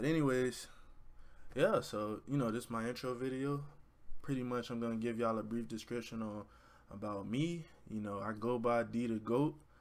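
Speaking at a moderate pace with an American accent, a man uses ordinary pitch variation and takes long, frequent pauses. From Florida (Orlando). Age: 20s. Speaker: YouTuber and college student. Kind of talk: casual vlog intro to camera. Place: home room. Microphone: webcam.

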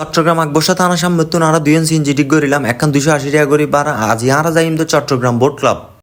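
A man with a Chittagong accent speaks with a fairly high pitch and fairly even intonation. His loudness stays very even throughout. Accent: Chittagonian Bengali. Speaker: travel vlogger. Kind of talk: vlog narration. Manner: casual, chatty.

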